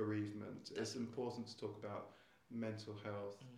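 Audible room echo surrounds a man with a southern English accent. His fairly low, somewhat breathy voice moves at a very fast pace. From southern England (Surrey, Essex). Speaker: school headmaster. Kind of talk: interview. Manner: halting, with frequent repetitions.

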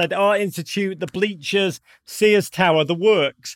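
A man with a Liverpool accent, high-pitched, with ordinary pitch variation, a moderate pace and a dry, close sound with no echo. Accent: Liverpool (Scouse) English. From northern England (Liverpool). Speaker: soccer broadcaster and author. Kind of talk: casual chat.

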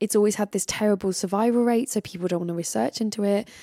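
Very fast and in a southern English accent, a woman talks at medium pitch with ordinary pitch variation and a dark, mellow tone, recorded dry and close with no echo. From England. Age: 30s. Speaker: comedian and podcast host. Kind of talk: casual interview.

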